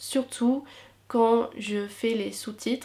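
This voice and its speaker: A woman with an English accent speaks in a monotone, flat intonation. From England. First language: English (speaking French). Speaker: YouTuber and university student. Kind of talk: Q&A vlog. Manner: hesitant with fillers.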